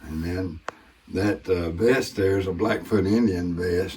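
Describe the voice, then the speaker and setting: With a Southern US accent and a relaxed tone, the speaker moves at a fairly slow pace with fairly even intonation. Audible room echo and noticeable background noise are present. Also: man. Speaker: war veteran and former ranch manager. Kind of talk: casual tour and storytelling. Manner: relaxed with frequent fillers.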